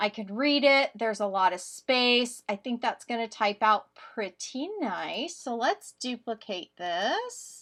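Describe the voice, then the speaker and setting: A woman speaks very slowly, with hardly any pauses. Her fairly high voice has lively intonation. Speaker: crafting YouTuber. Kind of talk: tutorial. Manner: casual, with fillers.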